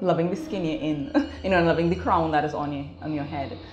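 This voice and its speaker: A woman's very deep, low voice at a very fast pace, with audible room echo and light background noise. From Trinidad and Tobago. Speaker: natural hair salon co-owner. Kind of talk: interview. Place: shop. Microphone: lapel.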